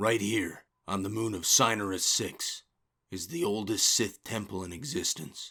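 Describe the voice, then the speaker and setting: A man uses a put-on character voice, fairly low in pitch, calm in tone and lively in intonation. He keeps a moderate pace in a very clean recording with a silent background. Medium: audio drama. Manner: calm, measured.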